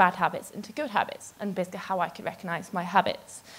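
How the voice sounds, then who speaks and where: A woman at a very fast pace with fairly even intonation. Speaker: conference speaker. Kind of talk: talk to an audience. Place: stage. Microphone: handheld.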